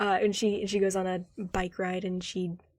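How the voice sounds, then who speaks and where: A quiet voice on a very clean recording with a silent background. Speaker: gaming video reactor. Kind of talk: casual reaction commentary.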